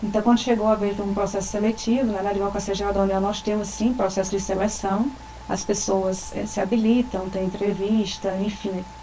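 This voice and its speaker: A woman's medium-pitched, monotone voice at a fairly quick pace, with audible room echo and noticeable background noise. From Rio Grande do Norte, Brazil. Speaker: government attorney. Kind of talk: interview.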